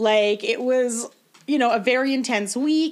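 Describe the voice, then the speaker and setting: With ordinary pitch variation, a woman talks in an unremarkable speaking voice. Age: 20s. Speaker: podcast guest. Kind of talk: casual chat.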